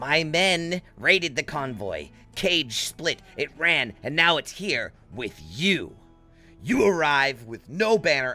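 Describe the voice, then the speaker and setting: A man performs a put-on character voice at a fairly slow pace. Faint music plays in the background. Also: fairly high pitch for a man. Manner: struggling, hesitant.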